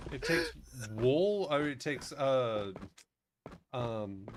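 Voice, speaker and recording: A man at a medium pitch with lively intonation and a very slow pace, in audible room echo. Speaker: gaming streamer. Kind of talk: casual chat while livestreaming gameplay.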